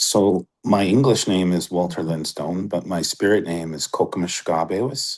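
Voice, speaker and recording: A man's very deep, low pitch with a Canadian accent. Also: quiet background. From Ontario, Canada (Batchewana First Nation). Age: 40s. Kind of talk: interview. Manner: hesitant, many fillers.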